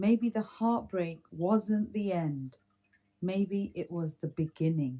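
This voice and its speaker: A woman with a British accent speaks very slowly at a medium pitch, with ordinary pitch variation. Her tone is dark and mellow, and somewhat breathy. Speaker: podcast co-host. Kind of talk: reading aloud; casual chat.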